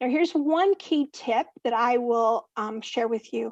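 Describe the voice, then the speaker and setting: A woman's high-pitched voice, dry and close with no echo. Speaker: career workshop presenter. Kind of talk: virtual conference presentation. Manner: fast.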